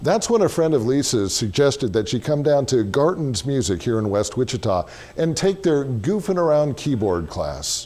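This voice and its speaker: Over music in the background, a man with an American accent speaks at a moderate pace with hardly any pauses, his fairly high voice making very wide pitch swings. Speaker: news reporter. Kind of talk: local TV feature hosting.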